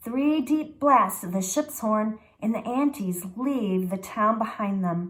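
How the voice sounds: The recording presents a natural reading voice.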